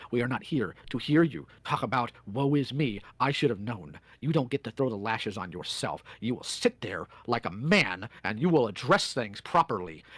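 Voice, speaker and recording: With very wide pitch swings and hardly any pauses, a man speaks in a very clean recording with a silent background. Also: medium pitch for a man, moderate pace. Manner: stern, confrontational.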